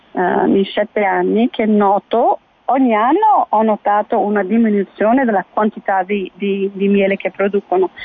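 In an ordinary speaking voice, a woman talks at a fairly slow pace. Her pitch is fairly high, with ordinary variation. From Kenya. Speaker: beekeeper and bee educator. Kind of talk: radio interview.

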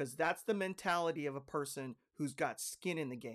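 A man with an unremarkable speaking voice, fairly high-pitched and fairly slow, on a very clean recording with a silent background. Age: 50s. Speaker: real estate broker and podcast host. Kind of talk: podcast monologue.

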